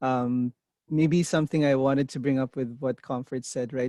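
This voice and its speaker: A non-native accent at a fairly slow pace, recorded dry and close with no echo against a quiet background. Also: man. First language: not English. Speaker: interview coach. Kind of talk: mock interview coaching. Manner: deliberate pace.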